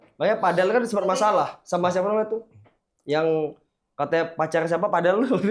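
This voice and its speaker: A man's high-pitched voice at a very fast pace, with very even loudness. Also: ordinary pitch variation. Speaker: podcast guest. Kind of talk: casual chat. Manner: animated, joking.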